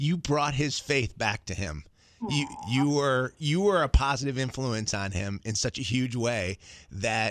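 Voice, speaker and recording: In a dry recording with no echo and a quiet background, a man speaks at a fairly slow pace with ordinary pitch variation. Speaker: morning radio show host. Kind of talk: casual on-air farewell chat. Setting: radio studio. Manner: animated, jokey. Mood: emotional, sincere. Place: studio. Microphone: studio mic.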